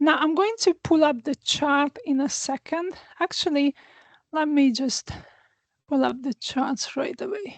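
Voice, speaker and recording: With a Hungarian accent, a woman speaks in a high pitch and lively intonation at a fairly slow pace, the sound dry and close with no echo against a quiet background. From Hungary. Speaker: astrologer. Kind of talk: astrology forecast talk. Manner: hesitant, many fillers. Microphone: new small microphone.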